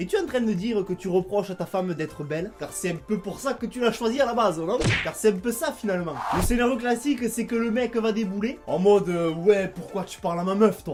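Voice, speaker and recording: A man speaks with a Toulouse accent at a high pitch. He talks at a fairly quick pace with music in the background. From Toulouse, southern France. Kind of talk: comedic rant to camera.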